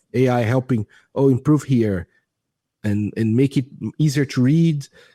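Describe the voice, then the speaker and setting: In a very clean recording with a silent background and a dry, close sound with no echo, a man with a Portuguese accent speaks at a medium pitch and a moderate pace, in a dark, mellow tone with ordinary pitch variation. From Brazil. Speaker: AI product manager. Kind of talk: podcast interview. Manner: halting, many false starts; enthusiastic.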